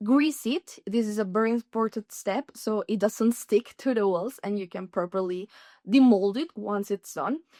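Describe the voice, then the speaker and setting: In a Spanish accent, a woman with a fairly high, dark, mellow voice speaks at a moderate pace with ordinary pitch variation, her dry, close sound free of echo in a very clean recording with a silent background. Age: 30s. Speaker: language student. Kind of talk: tutorial.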